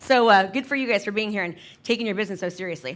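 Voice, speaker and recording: A woman with an American accent talks at a very fast pace in an animated tone. Her fairly high pitch shows ordinary variation. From Northern California. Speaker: real estate agent and business coach. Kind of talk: keynote talk. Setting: stage with audience.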